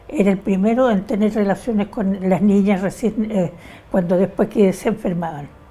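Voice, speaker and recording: A somewhat breathy woman's voice of medium pitch, dark and mellow in tone, with ordinary pitch variation and a fairly slow pace. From Chile. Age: 80s+. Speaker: interviewee, feminist. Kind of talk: oral history interview.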